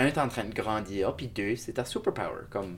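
With ordinary pitch variation and a moderate pace, a man speaks in a normal speaking voice. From Shediac, New Brunswick (Acadia). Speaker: multidisciplinary artist. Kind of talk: interview. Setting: hotel room.

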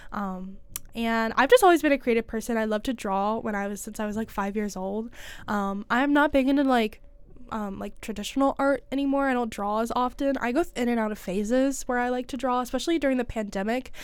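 A woman speaks in a normal speaking voice with ordinary pitch variation, captured in a very clean recording with a silent background. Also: fairly high pitch for a woman, fairly quick pace. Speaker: college student podcast co-host. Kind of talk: casual chat.

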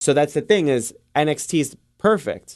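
Against a quiet background, a man speaks with a New York accent. His pitch variation is ordinary. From the Bronx, New York City. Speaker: wrestling podcast co-host. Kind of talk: casual chat.

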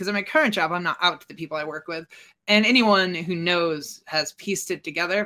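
Using lively intonation, a woman speaks at a medium pitch with a bright, sharp tone. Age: 20s. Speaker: gamer and streamer working in tech. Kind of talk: casual interview.

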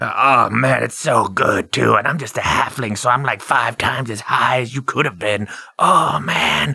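Putting on a raspy character voice, a man speaks at medium pitch and a moderate pace. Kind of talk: comic overacting. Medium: actual play. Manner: laid-back stoner drawl, cocky and mocking.

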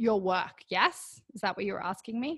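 A woman speaks with an Australian accent. Her voice is fairly high-pitched, with a bright, sharp tone. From Australia (Canberra). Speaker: women's fitness coach. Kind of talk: casual chat.

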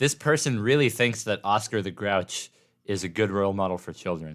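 On a very clean recording with a silent background, a man with an American accent and a plain, everyday voice talks at a fairly quick pace in a fairly low pitch with ordinary pitch variation. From Oregon. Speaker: college radio host. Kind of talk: casual chat. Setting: studio.

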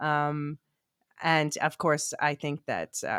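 A woman with a very deep, low voice and an American accent is heard on a very clean recording with a silent background and a dry, close sound with no echo. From US, Philadelphia. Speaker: podcast co-host. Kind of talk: casual chat.

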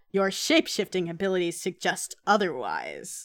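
A put-on character voice in a very clean recording with a silent background. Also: female-sounding voice, medium pitch for a woman, moderate pace. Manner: villain character voice.

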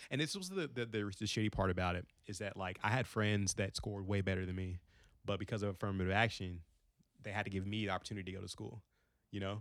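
A man speaks at a very fast pace in a fairly low voice with fairly even intonation. The recording is very clean, with a silent background. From Kentucky. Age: 30s. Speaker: social worker. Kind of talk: casual chat.

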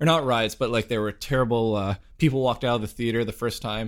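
A normal speaking voice from a man, medium in pitch, with fairly even intonation and a fairly quick pace. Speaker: podcast host. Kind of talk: casual interview.

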